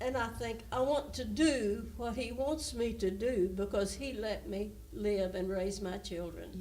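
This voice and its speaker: A woman with a Southern US accent speaks at a fairly slow pace with hardly any pauses, her medium-pitched voice showing ordinary pitch variation over noticeable background noise. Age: old. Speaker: pastor's wife, church elder. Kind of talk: casual interview, reminiscing.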